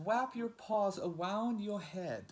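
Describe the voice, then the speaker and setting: The speaker uses a squeaky, put-on character voice. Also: man, high pitch for a man. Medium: read story.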